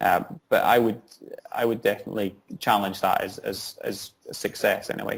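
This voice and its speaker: At a moderate pace, a man talks in a Scottish accent. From Scotland. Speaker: social entrepreneur, founder. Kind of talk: interview answer.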